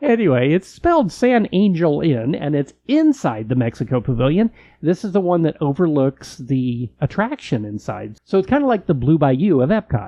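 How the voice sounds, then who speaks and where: Speaking at a moderate pace with an American accent, this voice has very wide pitch swings and hardly any pauses. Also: man, fairly high pitch for a man. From California. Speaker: podcast co-host. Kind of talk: casual chat.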